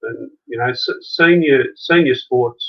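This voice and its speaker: The speaker is a man. He has an Australian accent. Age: 60s. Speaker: junior sports coach. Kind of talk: interview. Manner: halting.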